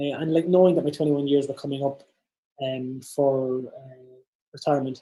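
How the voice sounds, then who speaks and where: This man has a fairly high pitch and a dark, mellow tone. He speaks in an Irish accent with monotone, flat intonation. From Ireland, Dundalk (north-east). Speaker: business founder and keynote speaker. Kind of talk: keynote presentation. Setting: virtual summit. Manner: fast.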